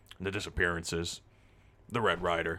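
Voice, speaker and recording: A man speaks in a put-on character voice. It sounds raspy and comes at a moderate pace. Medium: actual play. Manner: blunt, scolding.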